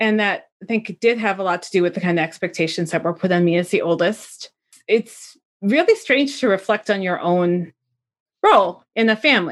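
A confident woman with an American accent, medium-pitched, at a moderate pace with ordinary pitch variation, on a very clean recording with a silent background. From US Midwest. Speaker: podcast host. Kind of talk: casual interview chat. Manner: outgoing, loud, confident.

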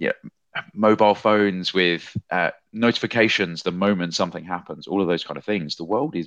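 A man speaks with a British accent and a bright, sharp tone. The background is quiet. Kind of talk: casual podcast discussion.

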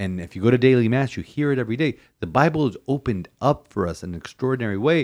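A man's voice with lively intonation. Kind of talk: casual chat and homily reflection.

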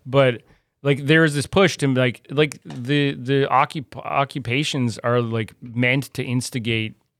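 A man with an ordinary speaking voice and medium pitch talks at a fairly slow pace with ordinary pitch variation, recorded very cleanly against a silent background. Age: 40s. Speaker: comedian and writer. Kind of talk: casual chat.

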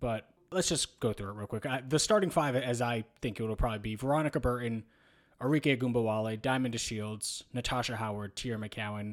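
A man's ordinary speaking voice at medium pitch, with ordinary pitch variation and a fairly quick pace. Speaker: basketball podcast co-host. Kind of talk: casual sports discussion.

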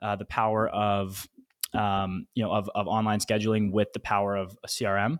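Over a very clean recording with a silent background, an ordinary speaking voice moves at a fairly quick pace. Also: man. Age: 20s. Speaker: software startup founder. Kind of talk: interview.

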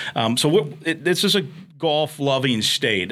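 A man is speaking. He has an Upper Midwest accent. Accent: Upper Midwest American. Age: 50s. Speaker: radio play-by-play announcer and podcast host. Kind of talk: casual interview. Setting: studio.

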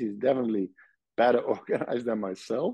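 A man at a medium pitch with a Dutch accent. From Netherlands, Nijmegen. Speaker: surgeon. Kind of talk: interview. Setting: video call.

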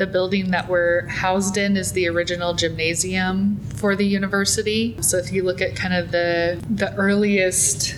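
A woman with an American accent talks at a fairly slow pace and a medium pitch, her intonation fairly even. Noticeable background noise and audible room echo are present. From US Midwest, small town in eastern Nebraska. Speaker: museum collections and exhibitions manager. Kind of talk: casual interview. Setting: museum lobby.

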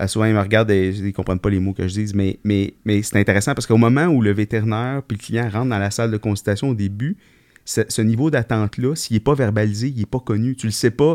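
Speaking very fast with an ordinary pitch variation, a man with a Quebec accent is heard in a dry, close sound with no echo. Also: fairly low pitch for a man. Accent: Québécois French. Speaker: veterinarian podcast co-host. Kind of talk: casual chat.

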